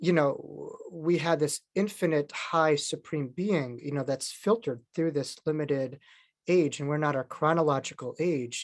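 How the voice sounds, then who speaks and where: With a New York accent, a man talks at a moderate pace in a fairly high voice, showing ordinary pitch variation against a quiet background. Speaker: near-death experiencer and author. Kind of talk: interview talk.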